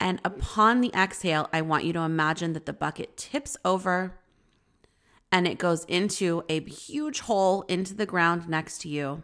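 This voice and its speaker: Recorded very cleanly against a silent background, an unremarkable speaking voice moves at a moderate pace with ordinary pitch variation. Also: woman, fairly low pitch for a woman. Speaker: spiritual healer and podcast host. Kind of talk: guided meditation. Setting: solo recording.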